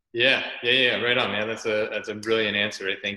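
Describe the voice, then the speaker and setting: A man with a Canadian accent, with noticeable background noise. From Canada. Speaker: podcast host, athletic therapist. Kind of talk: interview chat. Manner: fast.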